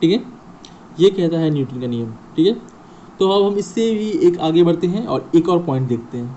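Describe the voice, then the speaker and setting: High-pitched for a man, this male speaker uses lively intonation at a moderate pace. He leaves long, frequent pauses. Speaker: physics teacher. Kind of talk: educational lecture to students. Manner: stammering, hesitant.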